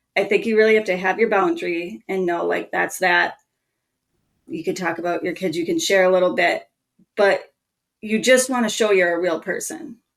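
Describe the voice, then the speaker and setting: Speaking with a Minnesotan accent, a woman uses lively intonation at a moderate pace. Her medium-pitched voice has vocal fry. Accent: Minnesota. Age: 30s. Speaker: marketing strategist. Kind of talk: podcast interview.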